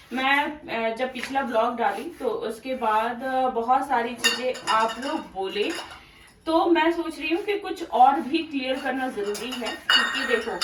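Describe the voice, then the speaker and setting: A woman's high-pitched voice at a very slow pace, with audible room echo and noticeable background noise. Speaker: vlogger. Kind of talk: casual vlog talk. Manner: not speaking loudly.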